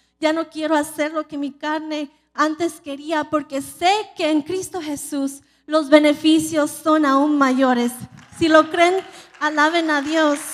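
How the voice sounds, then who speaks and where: A woman speaks very slowly in a high, monotone voice with flat intonation over a quiet background. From California. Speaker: preacher. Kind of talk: sermon. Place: church. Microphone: handheld.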